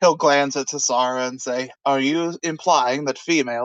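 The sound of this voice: The voice reads in an unforced way. Pitch shifts are ordinary.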